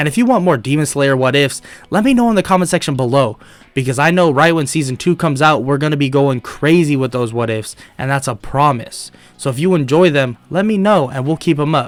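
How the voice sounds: A man speaks at a fairly quick pace with a fairly high, nasal voice. His intonation is lively.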